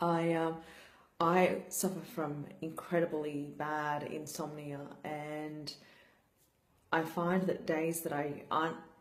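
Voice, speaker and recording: A woman's very deep, low voice at a very slow pace, with long, frequent pauses and audible room echo. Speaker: brain injury survivor vlogger. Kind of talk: personal vlog talk. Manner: slurred speech; flat, low energy.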